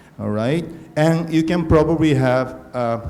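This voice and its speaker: Moderate-paced speech from a man with ordinary pitch variation and audible room echo. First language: not English. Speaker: conference organizer. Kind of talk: conference talk. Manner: halting.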